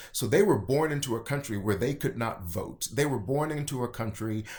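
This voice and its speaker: Speaking in a Kentucky accent, the voice sounds animated, with ordinary pitch variation. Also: man. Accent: Kentucky Southern US. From rural Kentucky. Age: 40s. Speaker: state party chair. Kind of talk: podcast interview.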